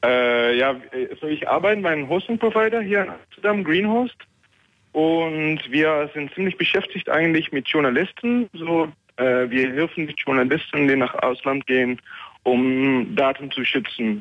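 A man with a non-native accent speaks fairly slowly at a fairly high pitch, his intonation lively. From Netherlands. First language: Dutch (speaking German). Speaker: caller, hosting provider worker. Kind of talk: call-in. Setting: phone call. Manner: halting.

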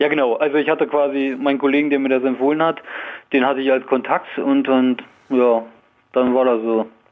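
An unremarkable speaking voice from a man, medium in pitch, at a fairly quick pace, with very even loudness and fairly even intonation. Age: 20s. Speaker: radio caller. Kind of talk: phone-in call. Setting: phone call.

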